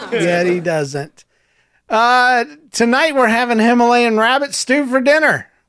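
In an American accent, a man speaks at a very slow pace with an extremely high pitch, lively intonation and a bright, sharp tone. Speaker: podcast co-host. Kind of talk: casual chat, telling jokes.

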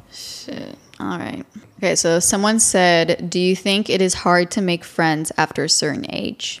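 At a fairly low pitch with ordinary variation, a woman speaks at a fairly slow pace. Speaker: podcast co-host and college student. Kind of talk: casual chat. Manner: animated, casual.

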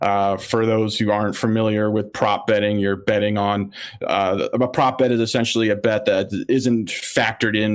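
The delivery is monotone and flat in intonation, moving at a moderate pace. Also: man. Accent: American. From Philadelphia area, US. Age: 30s. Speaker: sports betting analyst. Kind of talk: casual interview.

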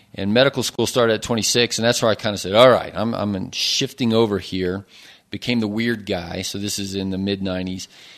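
Fairly low in pitch, this man keeps his intonation fairly even. He moves at a fairly quick pace. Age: 30s. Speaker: physician. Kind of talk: casual interview. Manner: hesitant, many fillers.

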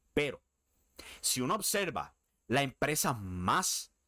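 A man's bright, sharp tone carries lively intonation and vocal fry. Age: 30s. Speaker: wrestling podcast host. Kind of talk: solo commentary podcast. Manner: casual.

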